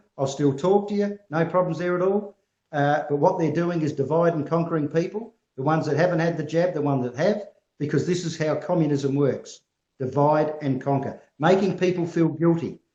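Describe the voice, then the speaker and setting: A man talks in an Australian accent at a fairly quick pace. His pitch is high. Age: 60s. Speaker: farm advocacy group representative. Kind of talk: interview answers. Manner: animated.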